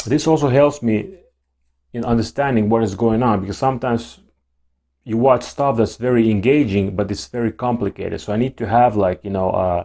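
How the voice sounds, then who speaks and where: At a fairly quick pace, a man with a non-native accent speaks in a dark, mellow tone. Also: medium pitch for a man, ordinary pitch variation. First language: not English. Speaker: YouTuber talking about ADHD. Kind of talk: casual monologue to camera. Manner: halting, with repeated words and restarts.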